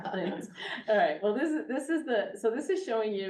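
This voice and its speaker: Amid noticeable background noise and audible room echo, a woman speaks with very wide pitch swings. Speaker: astronomy professor. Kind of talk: lecture. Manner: fast.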